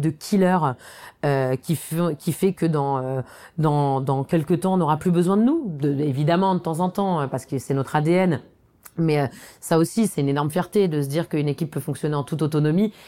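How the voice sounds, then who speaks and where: A woman's dark, mellow voice, fairly low in pitch, at a fairly quick pace with ordinary pitch variation, in a very clean recording with a silent background. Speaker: company co-founder. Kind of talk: reflective interview monologue. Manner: hesitant, with repetitions and fillers.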